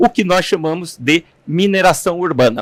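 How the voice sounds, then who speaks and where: The sound is dry and close with no echo as a man speaks. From interior of São Paulo state, Brazil (São Carlos). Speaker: materials engineer and sustainability executive. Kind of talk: interview. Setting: studio. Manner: hesitant, with fillers.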